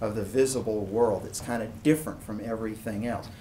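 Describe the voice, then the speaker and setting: A somewhat breathy man is heard with audible room echo. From East Tennessee (Chattanooga). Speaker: philosophy professor. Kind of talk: lecture. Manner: casual, conversational.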